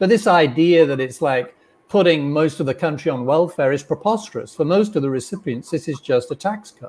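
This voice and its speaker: His pace is fairly quick. The man's pitch is fairly high, with ordinary pitch variation. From Britain. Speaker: opinion editor. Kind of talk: interview. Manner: fluent, articulate.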